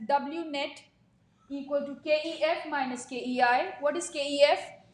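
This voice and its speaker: A woman speaks in a high-pitched voice with fairly even intonation. Audible room echo surrounds her words. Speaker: physics teacher. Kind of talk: classroom lecture. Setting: classroom with students.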